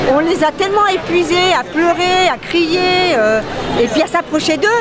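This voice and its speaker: Over crowd noise, a woman with an extremely high pitch speaks fairly slowly, her intonation lively and her loudness very even. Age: 50s. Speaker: protester. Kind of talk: interview testimony. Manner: hesitant, many fillers.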